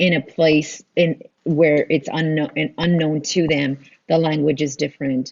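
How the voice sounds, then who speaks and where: A woman speaks in a Spanish accent at a very deep, low pitch. Her delivery is fairly slow with monotone, flat intonation. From Texas border town. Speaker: nonprofit director. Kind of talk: interview. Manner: halting, many fillers.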